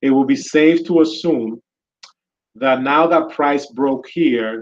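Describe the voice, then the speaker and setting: A man with a Spanish accent and a fairly high pitch speaks at a very slow pace. His loudness stays very even, with ordinary pitch variation. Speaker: trading educator. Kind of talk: live market analysis tutorial. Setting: live video session.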